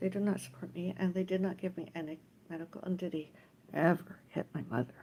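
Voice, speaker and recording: A woman speaks at a fairly low pitch with a dark, mellow tone and vocal fry. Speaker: livestreamer. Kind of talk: casual livestream monologue. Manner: rambling, halting.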